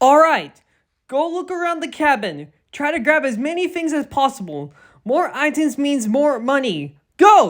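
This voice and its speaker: Done as a put-on character voice, the speech is high-pitched and moves at a moderate pace. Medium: read story.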